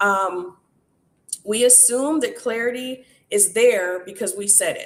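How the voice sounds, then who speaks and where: A woman with an unremarkable speaking voice talks at a fairly slow pace, her fairly high pitch showing ordinary variation amid big swings in loudness. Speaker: workshop host.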